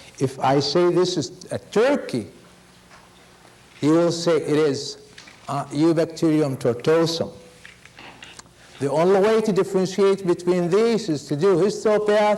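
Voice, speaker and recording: Over noticeable background noise, a high-pitched man talks with long, frequent pauses. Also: ordinary pitch variation, fairly slow pace. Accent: non-native. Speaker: veterinary pathology lecturer. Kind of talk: lecture.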